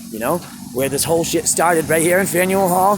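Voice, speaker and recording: A man speaks with a high pitch. There is noticeable background noise. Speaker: street musician. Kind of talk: vlog rant. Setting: outdoors. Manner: loud; animated.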